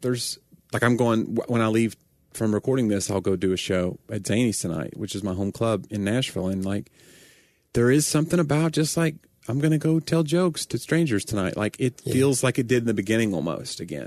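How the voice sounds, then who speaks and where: Against a quiet background, a man talks fairly quickly at medium pitch with lively intonation. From Tennessee. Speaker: stand-up comedian and podcast co-host. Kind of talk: casual chat.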